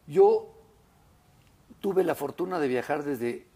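Fairly slow in pace, this delivery carries a dark, mellow tone. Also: man. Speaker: restaurateur and food critic. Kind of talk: interview. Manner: hesitant with many fillers.

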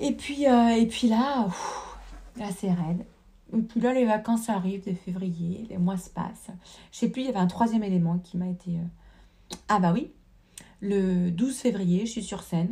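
The woman's voice is somewhat breathy, with a dark, mellow tone. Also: medium pitch for a woman, ordinary pitch variation, fairly slow pace. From rural France. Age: 30s. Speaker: dancer. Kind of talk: casual chat. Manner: halting.

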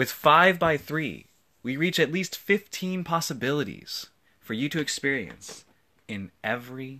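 With long, frequent pauses and a fairly slow pace, a man speaks at a fairly high pitch in a bright, sharp yet gentle tone. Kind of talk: poetry reading, original spoken word poem. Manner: reflective, gentle, with soft laughs between lines; measured, deliberate, lyrical.

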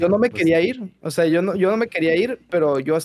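With lively intonation, a man speaks at a moderate pace in a high voice. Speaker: streamer. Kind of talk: casual chat.

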